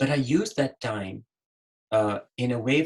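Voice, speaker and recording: Lively intonation in a man's medium-pitched, somewhat breathy voice. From Pakistan. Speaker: physician, webinar panelist. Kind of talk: webinar panel advice talk. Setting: online webinar.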